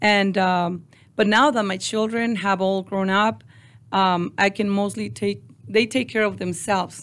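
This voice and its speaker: On a very clean recording with a silent background, a woman with a Mexican accent speaks at a fairly slow pace and medium pitch, her intonation fairly even. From Mexico (Ciudad Juarez). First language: Spanish. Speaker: construction business owner. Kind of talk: interview. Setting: studio. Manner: halting.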